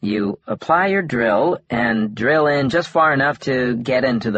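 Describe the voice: This is plain reading aloud. The text is read as written.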